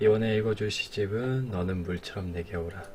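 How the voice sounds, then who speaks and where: This man's voice sits fairly low, with ordinary pitch variation and a fairly slow pace. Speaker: streamer. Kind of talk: casual talk about a poem.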